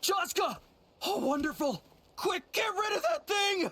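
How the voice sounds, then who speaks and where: Using a put-on character voice, a man pitches it extremely high. The delivery is fairly slow. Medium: video game.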